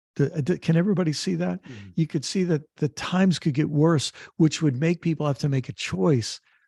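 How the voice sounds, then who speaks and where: Against a quiet background, a man with a dark, mellow, somewhat breathy tone and a fairly high pitch speaks in lively intonation with hardly any pauses. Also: moderate pace, dry, close sound with no echo. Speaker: author, activist and theologian. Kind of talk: interview answer.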